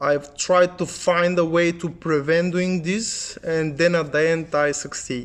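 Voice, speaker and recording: Speech comes at a very slow pace in a Bulgarian accent. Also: man. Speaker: English learning youtuber. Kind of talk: tutorial.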